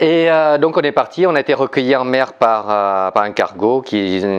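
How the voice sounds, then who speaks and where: In a Vietnamese accent, a man talks at a fairly slow pace, his pitch swinging very widely. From Vietnam, raised in southern France from age 8. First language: Vietnamese (speaking French). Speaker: entrepreneur. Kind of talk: talk to an audience. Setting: live event with audience. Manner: hesitant, many fillers.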